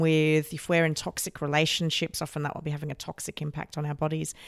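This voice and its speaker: An Australian accent comes through. The recording is very clean, with a silent background. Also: woman. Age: 30s. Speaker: podcast host. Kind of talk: interview.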